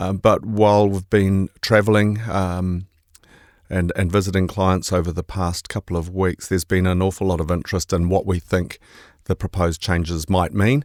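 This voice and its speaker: In a New Zealand accent, the speaker keeps fairly even intonation at a moderate pace, the sound dry and close with no echo. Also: man, very deep, low pitch for a man. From New Zealand, Bay of Plenty. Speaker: investment manager. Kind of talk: podcast discussion. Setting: studio.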